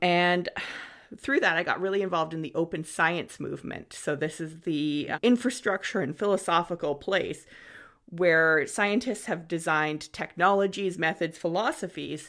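A woman with a plain, everyday voice speaks at a moderate pace and a fairly low pitch, with ordinary pitch variation. The recording is very clean, with a silent background. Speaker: professor and podcast host. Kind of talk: scripted intro then casual conversation.

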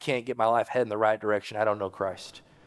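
A man talks very fast on a very clean recording with a silent background. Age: 40s. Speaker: pastor. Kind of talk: sermon; pastor's fervent altar call and invitation to prayer, urging people forward. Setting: church. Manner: conversational with filler words and self-corrections; earnest, pleading, repeating phrases with rising urgency.

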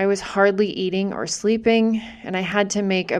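Here is a woman with an American accent and a plain, everyday voice. She talks at a moderate pace and medium pitch. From US Northeast, Massachusetts. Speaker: podcaster and small business owner. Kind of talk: personal storytelling monologue.

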